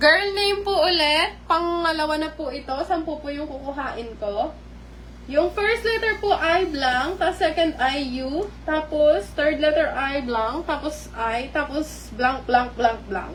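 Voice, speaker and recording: Speaking at a very slow pace, a woman uses a high pitch and lively intonation, with audible room echo and noticeable background noise. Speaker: live-stream vlogger. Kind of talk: live stream chat with viewers. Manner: polite, uses po constantly.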